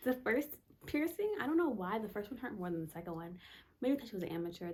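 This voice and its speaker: A woman whispers at a very fast pace. Her voice is somewhat breathy. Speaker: lifestyle vlogger. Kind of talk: casual chat. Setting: at home at night. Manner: whispering.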